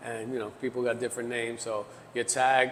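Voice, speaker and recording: In a New York accent, the speaker goes at a fairly quick pace with monotone, flat intonation over noticeable background noise. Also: man. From New York City, the Bronx. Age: 50s. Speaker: graffiti artist. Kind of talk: casual interview chat.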